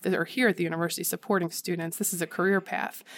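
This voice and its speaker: A woman with a Philadelphia accent at a very fast pace. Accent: Philadelphia-area American. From Philadelphia suburbs, Pennsylvania. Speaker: civic engagement center director. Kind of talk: interview.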